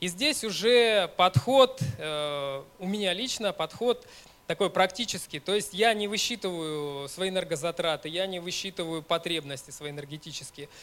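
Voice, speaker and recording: His pitch high and his intonation lively, a man speaks at a moderate pace. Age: 30s. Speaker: ultramarathon runner and running coach. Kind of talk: conference talk. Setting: stage with audience.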